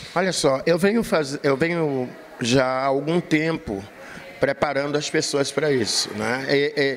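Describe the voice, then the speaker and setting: The speech moves at a very slow pace with ordinary pitch variation. Noticeable background noise runs underneath. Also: man, fairly high pitch for a man. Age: 70s. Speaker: capoeira master. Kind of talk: interview.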